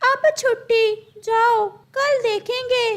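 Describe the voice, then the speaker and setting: A woman puts on a cartoonish character voice, squeaky and pitched extremely high. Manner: authoritative.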